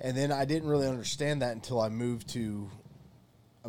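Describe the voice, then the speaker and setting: This man has a normal speaking voice at medium pitch, with an American accent and ordinary pitch variation. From US South. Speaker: archaeologist. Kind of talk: casual chat.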